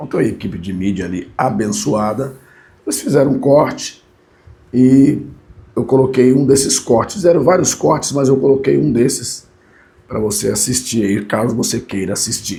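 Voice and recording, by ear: A man puts on a character voice that is raspy and hoarse. He speaks at a medium pitch and a moderate pace.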